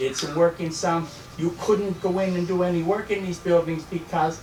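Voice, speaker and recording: Through noticeable background noise, a man talks in a high voice with fairly even intonation. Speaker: landlord, meeting attendee. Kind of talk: public meeting debate.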